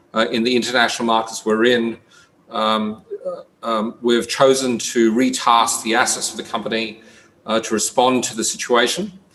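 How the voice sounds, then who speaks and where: A man with an Australian accent speaks at medium pitch and a moderate pace. His tone is bright and sharp, his intonation fairly even. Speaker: company CEO presenting. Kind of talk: investor presentation. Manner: halting, many fillers.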